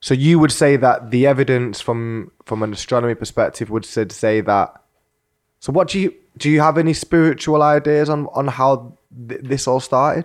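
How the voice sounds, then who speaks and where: In a very clean recording with a silent background, a man with a British accent speaks at a fairly high pitch. His pace is moderate and his pitch variation is ordinary. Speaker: podcast host interviewer. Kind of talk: casual interview. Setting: in person studio.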